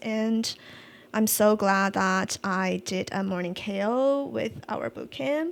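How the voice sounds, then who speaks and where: The very clean recording, with a silent background, captures a woman at a medium pitch with a non-native accent. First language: not English. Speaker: UX design podcast co-host. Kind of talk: casual chat. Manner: halting.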